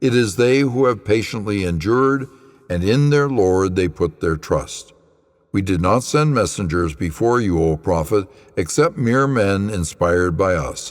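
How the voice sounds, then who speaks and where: In a very clean recording with a silent background, a man speaks at a fairly slow pace with lively intonation and very even loudness. He has an ordinary speaking voice with a fairly low pitch. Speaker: pastor. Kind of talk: scripture reading.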